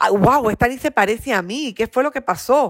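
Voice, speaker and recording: A woman's animated tone comes through on a very clean recording against a silent background. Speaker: psychopedagogue and neurocoach. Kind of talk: interview. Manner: slow for emphasis.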